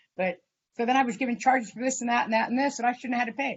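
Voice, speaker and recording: A woman speaks in a somewhat breathy voice. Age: 60s. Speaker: defendant. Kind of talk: court hearing. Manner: halting.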